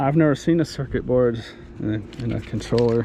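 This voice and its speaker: With lively intonation and a moderate pace, a man talks while noticeable background noise runs underneath. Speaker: dumpster diving vlogger. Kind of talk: casual vlog commentary. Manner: words run together, slurred-sounding.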